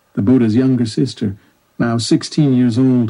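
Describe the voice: The intonation stays fairly even in this plain reading aloud. It is quiet in the background.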